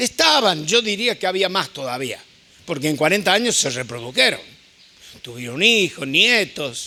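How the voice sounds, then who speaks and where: A man speaks in a raised, projected voice. His pitch swings very widely. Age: 70s. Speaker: visiting preacher. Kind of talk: sermon.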